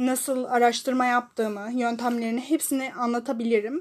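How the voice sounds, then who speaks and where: A woman speaks at a moderate pace in a high pitch. The background is quiet. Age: 20s. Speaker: solo podcast host. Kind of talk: personal monologue. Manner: halting, many fillers; loud opening.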